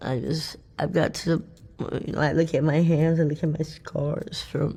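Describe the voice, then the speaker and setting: In an American accent, a woman talks at a fairly slow pace with a very deep, low pitch and ordinary variation. Her dark, mellow tone carries vocal fry. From Denver, Colorado. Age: 50s. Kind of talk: interview answer. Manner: halting, emotional.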